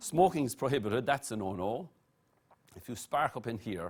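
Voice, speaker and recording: Very wide pitch swings mark the delivery, in an Irish accent. The pace is moderate. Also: man. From Ireland, Blarney (County Cork). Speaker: master of ceremonies. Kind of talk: rhyming verse MC address. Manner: rhythmic, rhyming delivery.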